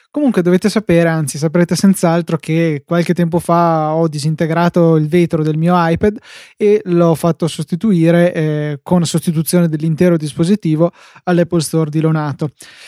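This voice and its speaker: On a very clean recording with a silent background, a man speaks at a moderate pace in a high pitch. His tone is dark and mellow, his intonation fairly even, and the sound dry and close with no echo. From northern Italy, Verona. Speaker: tech podcast host. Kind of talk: casual chat.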